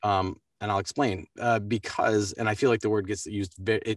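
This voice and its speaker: An American accent at a moderate pace, monotone and flat in intonation, with a dry, close sound and no echo. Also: man. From US East Coast, Baltimore. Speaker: voice actor. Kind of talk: interview. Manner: halting.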